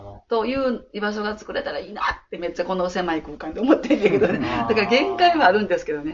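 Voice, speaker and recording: Speaking at a very fast pace with an Osaka accent, a woman uses a fairly high pitch and very wide pitch swings. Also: big swings in loudness. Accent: Kansai (Osaka) Japanese. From Osaka, Ikuno ward. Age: 60s. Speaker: childcare worker. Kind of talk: interview.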